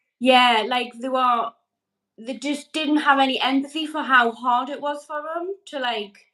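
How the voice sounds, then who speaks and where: Projecting a raised voice, a woman with a Geordie accent speaks at a fairly slow pace in a high-pitched, bright, sharp tone with fairly even intonation. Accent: Geordie, sounds Scottish to an American. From northeast England, Newcastle upon Tyne. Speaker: energy healer and mother. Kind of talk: casual interview.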